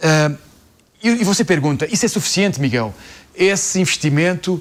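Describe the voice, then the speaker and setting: A man's high-pitched voice at a moderate pace, with very even loudness. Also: lively intonation. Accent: Portuguese. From Portugal. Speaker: company CEO. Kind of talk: business interview. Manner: hesitant, with filler sounds.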